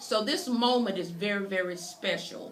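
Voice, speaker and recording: A woman with a North Carolina accent, medium pitch and ordinary pitch variation, amid audible room echo and noticeable background noise. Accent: North Carolina Southern US. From US South. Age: 60s. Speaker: podcast host. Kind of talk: interview introduction.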